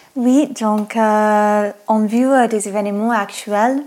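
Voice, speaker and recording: A woman with an American accent speaks in a fairly high pitch with fairly even intonation. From United States. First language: English (speaking French). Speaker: podcast co-host. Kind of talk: interview.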